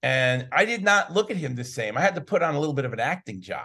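Moderate pace, lively intonation and vocal fry. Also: man. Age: 50s. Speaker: documentary filmmaker. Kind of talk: interview. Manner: upbeat.

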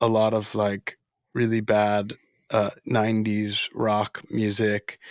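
A man with an American accent speaks very slowly in a fairly low pitch, his intonation monotone and flat. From Florida, US (Dominican family). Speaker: musician. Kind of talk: casual interview chat. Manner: halting.

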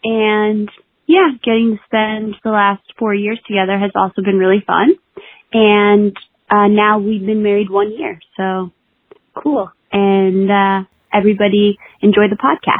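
A woman's normal speaking voice at a medium pitch, with fairly even intonation and a fairly slow pace. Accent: American. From Brooklyn, New York. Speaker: musician, host's wife. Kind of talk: recorded voice message.

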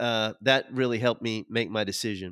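A man with an American accent speaks in a bright, sharp tone. The recording is very clean and dry, close with no echo and a silent background. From Oklahoma, US. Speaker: lawyer. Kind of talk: casual interview.

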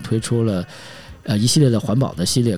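With a dark, mellow tone and a fairly low pitch, a man talks at a fairly quick pace using lively intonation. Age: 40s. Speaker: podcast host. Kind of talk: solo podcast monologue. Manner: casual, with filler words.

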